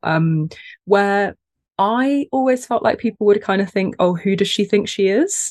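At a moderate pace and medium pitch, a woman speaks in a dry, close sound with no echo. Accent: British. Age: 30s. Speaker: content creator and small business owner. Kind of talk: casual interview chat. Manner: animated, humorous.

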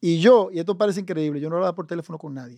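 A man speaks in a Dominican accent at a high pitch. His tone is dark and mellow, with ordinary pitch variation. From Dominican Republic, raised in Santo Domingo. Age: 50s. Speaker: business executive. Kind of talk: interview.

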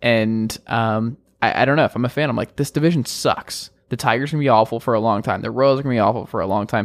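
On a very clean recording with a silent background, a man with a General American accent talks at a very fast pace, medium in pitch and fairly even in intonation. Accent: general American, often taken for Midwestern. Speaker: sports podcast host. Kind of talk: casual sports talk.

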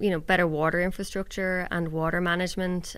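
A woman with an Irish accent on a very clean recording with a silent background. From Ireland. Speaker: reporter. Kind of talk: casual chat.

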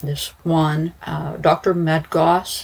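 A woman's low-pitched voice, slightly husky at the edges, with little pitch movement

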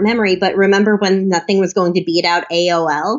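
Music plays behind a woman speaking at a fairly quick pace. Her pitch sits in the medium range. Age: 20s. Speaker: think tank policy fellow. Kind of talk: interview.

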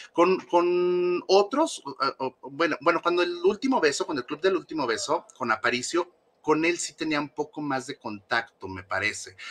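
Moderate pace and lively intonation from a male speaker. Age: 30s. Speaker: former member of a celebrity fan support group. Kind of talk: interview.

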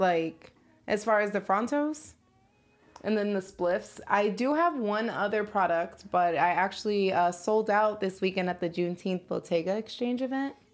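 Over music in the background, a woman with an American accent speaks at a medium pitch and moderate pace, with ordinary pitch variation. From Chicago. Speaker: cannabis business founder. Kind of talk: casual chat.

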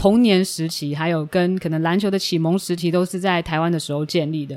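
A woman talks at a fairly quick pace. She has a normal speaking voice with a fairly low pitch. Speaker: podcast host. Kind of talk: casual interview.

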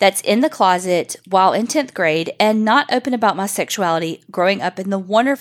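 A reading voice, unforced

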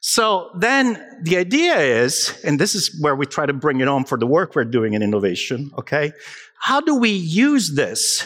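A man speaks in an animated tone with an Italian accent. His high-pitched voice swings very widely in pitch. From Italy, Naples. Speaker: digital health consultant. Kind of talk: conference talk. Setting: stage with audience.

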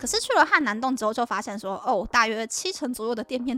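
With a Taiwanese accent, a woman talks at a fairly quick pace in a high, bright, sharp voice with lively intonation. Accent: Taiwanese Mandarin. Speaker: podcast host. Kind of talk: casual travel monologue.

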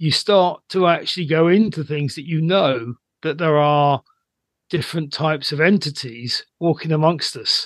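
A man speaks in a plain, everyday voice, pitched fairly high, at a moderate pace. The sound is dry and close with no echo, over a quiet background. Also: ordinary pitch variation. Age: 60s. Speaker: psychic medium and aura reader. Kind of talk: casual chat.

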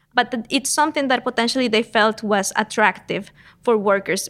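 This speaker has a Spanish accent and ordinary pitch variation. The pace is fairly quick. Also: woman. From Costa Rica, San Jose. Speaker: economics professor. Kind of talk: interview.

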